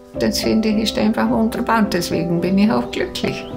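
Over clear music in the background, a woman speaks at a moderate pace. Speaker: photo shop owner. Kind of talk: interview answer. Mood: warm, cheerful, content. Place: home room. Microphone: lapel.

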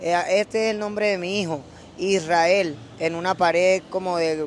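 A man with a Venezuelan accent speaks at a high pitch with fairly even intonation. The sound is dry with no echo, with light background noise. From Venezuela (Caracas, Valencia). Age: 20s. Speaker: rapper; interviewee. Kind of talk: casual interview. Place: street. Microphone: handheld.

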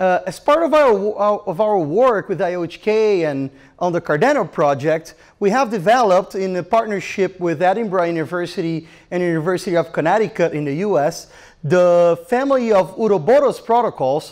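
Against a quiet background, a man talks at a moderate pace in a high pitch. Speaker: presenter. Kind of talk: conference talk. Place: hall. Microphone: handheld.

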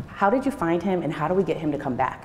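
A woman with an American accent talks at a very fast pace. Audible room echo and noticeable background noise surround her voice. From Rochester, New York. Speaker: teacher and educational leader. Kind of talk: presentation to an audience. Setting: church hall with audience.

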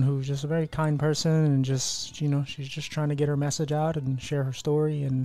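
A man talks at a fairly quick pace in a dry sound with no echo. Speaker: podcast host. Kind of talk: podcast intro chat.

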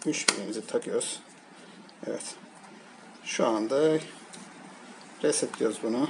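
Fairly slow speech with vocal fry, ordinary pitch variation and faint background noise. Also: man, medium pitch for a man.

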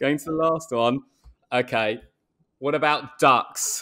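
Over a quiet background, a man with an English accent speaks with ordinary pitch variation. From England. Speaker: cricketer, podcast co-host; podcast co-host. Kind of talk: casual chat. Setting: video call. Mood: relaxed, jokey. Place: home room. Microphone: earbuds.

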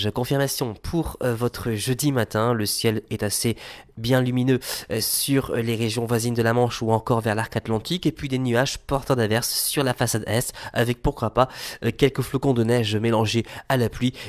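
In a normal speaking voice, a man with medium pitch talks at a moderate pace with fairly even intonation, the sound dry and close with no echo. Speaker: weather forecaster. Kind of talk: scripted weather report. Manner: formal, brisk, even delivery; clear, measured, listing temperatures and regions.

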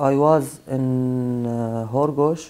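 A man speaks in a dark, mellow tone. His intonation is fairly even against a quiet background. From Syria. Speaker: asylum seeker; interviewee. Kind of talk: interview testimony. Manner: halting. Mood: subdued, serious. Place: studio.

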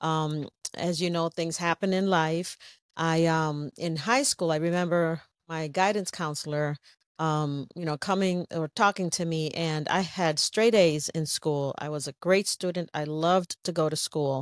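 Speaking at a fairly slow pace, a woman with a fairly low pitch keeps a fairly even intonation in a dry sound with no echo. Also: quiet background. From New England, US (born in Puerto Rico). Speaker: social worker. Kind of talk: interview. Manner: laughs often. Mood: reflective, earnest. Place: home room. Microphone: studio mic.

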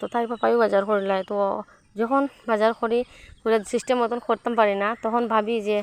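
A woman speaks at a fairly high pitch. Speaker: vlogger. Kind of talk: casual vlog narration. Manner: voiceover recorded just after waking.

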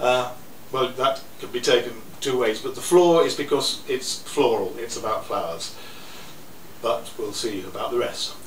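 A man talks at a moderate pace, with light background noise and audible room echo. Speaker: poet. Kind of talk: introducing poems to a live audience. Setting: live venue, poetry cafe. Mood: wry, good-humoured. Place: cafe.

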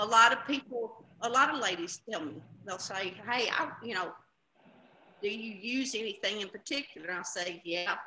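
A woman's fairly high pitch, moderate pace and ordinary pitch variation, with long, frequent pauses and light background noise. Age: 60s. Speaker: customer. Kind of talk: testimony. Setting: video call. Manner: emphatic, animated. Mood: enthusiastic, chatty. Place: home room. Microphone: video call.

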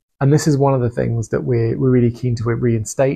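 A man's somewhat breathy, dark and mellow voice at a medium pitch, with fairly even intonation. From England. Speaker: renovation vlogger. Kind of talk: casual narration of video. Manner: hesitant, with fillers.

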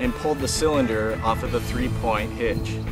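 Clear background music under a man speaking at a moderate speed. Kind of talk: tutorial. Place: farm machine.

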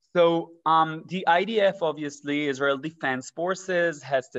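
A man talks at a very slow pace with ordinary pitch variation over a quiet background. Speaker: presenter. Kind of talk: presentation talk. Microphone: webcam.

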